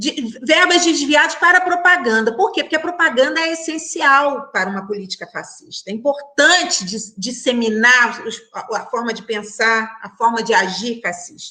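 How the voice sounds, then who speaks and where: A woman with a high pitch and a raised, projected voice speaks at a moderate pace with hardly any pauses and very wide pitch swings over noticeable background noise. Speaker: criminal judge on a debate panel. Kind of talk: online panel debate. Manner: halting, many repetitions.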